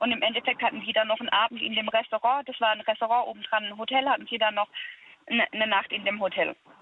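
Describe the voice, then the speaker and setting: Over noticeable background noise, a woman speaks at a very fast pace. Her voice is fairly high-pitched, with fairly even intonation. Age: 30s. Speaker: caller. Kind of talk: phone-in conversation. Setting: phone call.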